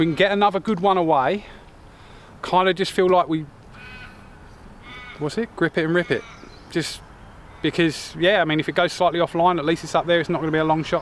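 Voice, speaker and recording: A high-pitched man at a fairly quick pace with long, frequent pauses, amid noticeable background noise. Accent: Australian. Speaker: golf vlogger. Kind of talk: casual chat; live commentary. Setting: outdoors.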